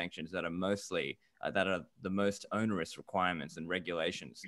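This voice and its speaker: Against a quiet background, a man rushes along at a very fast pace with an Australian accent, his tone bright and sharp and the sound dry with no echo. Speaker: bitcoin commentator. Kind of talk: casual chat. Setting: video call. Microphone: video call.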